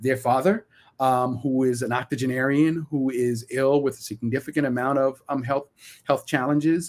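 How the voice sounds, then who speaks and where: A man speaks with a Brooklyn accent at a medium pitch. His intonation stays fairly even. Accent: Brooklyn New York. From Brooklyn, New York. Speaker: community organizer and educator. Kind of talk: interview.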